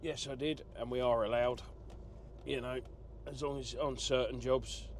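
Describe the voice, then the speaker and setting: Moderate-paced speech from a man, with audible room echo. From southern England, Essex. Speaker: truck driver vlogger. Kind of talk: casual vlog monologue. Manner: rambling conversational with fillers.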